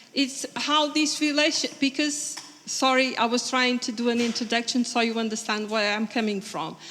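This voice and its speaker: A woman with a Portuguese accent speaks at a high pitch and a moderate pace, using ordinary pitch variation. She hardly pauses, and noticeable background noise sits behind her. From Portugal. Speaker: conference audience member. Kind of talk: Q&A question at conference. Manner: halting.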